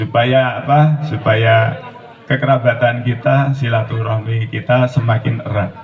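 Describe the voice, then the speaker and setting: Against noticeable background noise, a man speaks at a fairly slow pace with fairly even intonation. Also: medium pitch for a man. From Central Java (Blora). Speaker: groom's family representative. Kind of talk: formal wedding speech.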